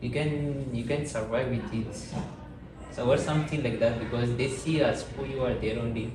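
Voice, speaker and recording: A man with a Malagasy accent, noticeable background noise and audible room echo. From Madagascar. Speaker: podcast guest. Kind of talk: interview. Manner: halting.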